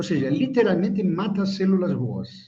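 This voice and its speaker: A high male voice, moderately paced, its pitch moving in an ordinary way. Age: 60s. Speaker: Kabbalah teacher. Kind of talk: lecture. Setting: live stream video call.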